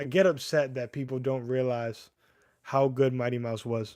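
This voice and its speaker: Someone with a US East Coast accent talks at a moderate pace on a very clean recording with a silent background. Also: man. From US East Coast, Connecticut, Puerto Rican family. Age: 30s. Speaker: MMA livestreamer. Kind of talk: casual livestream chat. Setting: YouTube livestream. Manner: casual, halting with restarts.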